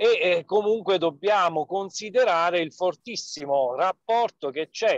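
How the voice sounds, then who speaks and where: The man speaks at a fairly slow pace with lively intonation. The sound is dry with no echo over a quiet background. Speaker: park official; webinar speaker. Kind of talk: webinar presentation. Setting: in a car, on a video call. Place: car. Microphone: mobile phone connection; phone near.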